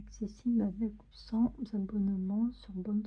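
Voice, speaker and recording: The pace here is fairly slow. The voice is soft-spoken. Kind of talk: ASMR magazine reading.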